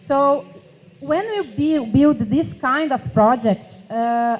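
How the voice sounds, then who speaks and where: Speaking with a Portuguese accent, a woman uses a fairly high pitch. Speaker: youth climate activist. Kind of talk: panel discussion. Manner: halting.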